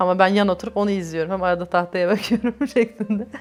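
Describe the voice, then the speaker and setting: With a plain, everyday voice, a woman speaks at a fairly low pitch. Her intonation stays fairly even. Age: 30s. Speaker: LGBTI+ activist. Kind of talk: oral history interview answer.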